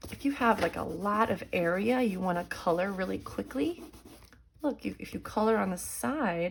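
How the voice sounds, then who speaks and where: Speaking fairly slowly, a woman uses a warm tone at a medium pitch. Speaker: elementary school art teacher. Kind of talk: drawing tutorial for children. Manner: warm, encouraging.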